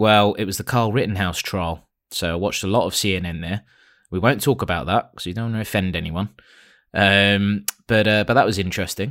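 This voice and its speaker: The recording is very clean, with a silent background. A man with a British accent speaks at a fairly low pitch and fairly quick pace, with fairly even intonation. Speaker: podcast co-host. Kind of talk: casual chat.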